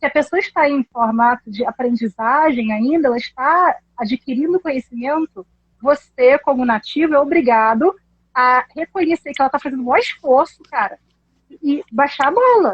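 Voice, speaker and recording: Ordinary pitch variation marks this woman's high-pitched voice. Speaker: English teacher. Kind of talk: casual chat. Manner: fast.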